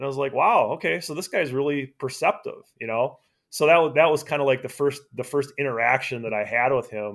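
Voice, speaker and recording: Speaking at a fairly quick pace, the man has hardly any pauses. His pitch is fairly high, with ordinary pitch variation. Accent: American. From Wisconsin. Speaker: sports journalist. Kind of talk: casual interview. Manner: halting, many repeats.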